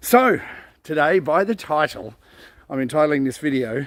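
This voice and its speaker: Man with an Australian accent, lively intonation and a relaxed tone. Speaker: vlogger. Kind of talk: casual monologue. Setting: outdoors on a forest walk. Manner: relaxed, hesitant with fillers.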